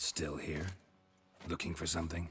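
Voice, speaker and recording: A man's put-on character voice, very deep and low, raspy, at a moderate pace. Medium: video game. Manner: laconic, dry.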